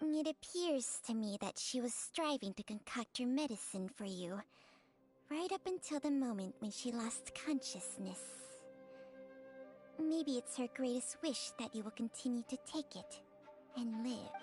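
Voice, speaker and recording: In a put-on character voice, a woman speaks at high pitch and a moderate pace, leaving long, frequent pauses while clear music plays in the background. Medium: game stream. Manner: formal, detached.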